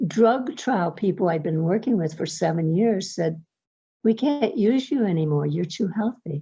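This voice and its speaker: Somewhat breathy and dark, mellow in tone, a woman speaks at a medium pitch and a fairly slow pace with very wide pitch swings. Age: 70s. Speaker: testimonial customer. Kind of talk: testimony.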